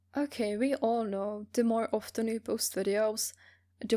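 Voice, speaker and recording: A woman's fairly high voice in a Czech accent, with fairly even intonation and a fairly slow pace, on a very clean recording with a silent background. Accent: non-native English, Czech. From Czech Republic, small village. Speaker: voice actor. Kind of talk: interview answers, casual.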